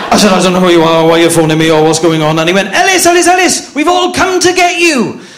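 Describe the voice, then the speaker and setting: A man with a Welsh accent talks at a very fast pace, his pitch swinging very widely. Audible room echo and noticeable background noise surround his voice. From Wales. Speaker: comedian. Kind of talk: stand-up. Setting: stage with audience.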